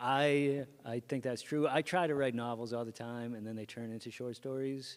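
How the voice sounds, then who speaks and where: Pitch moves in an ordinary way. The delivery is fairly slow. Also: man. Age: 50s. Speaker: author. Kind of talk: panel discussion at book launch.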